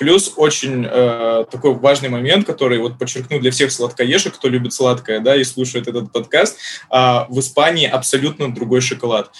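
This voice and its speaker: A man speaks in a normal speaking voice at medium pitch, with ordinary pitch variation and a moderate pace. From Saint Petersburg, Russia. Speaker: Spanish language school head. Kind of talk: casual interview.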